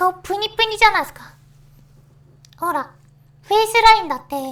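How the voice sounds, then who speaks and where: Her voice sits at an extremely high pitch, and the intonation is lively. The woman talks at a fairly quick pace. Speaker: virtual YouTuber. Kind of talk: casual talk to camera. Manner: hesitant, stammering.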